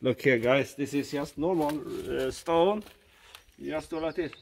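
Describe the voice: A man's fairly high pitch, vocal fry, ordinary pitch variation and fairly slow pace.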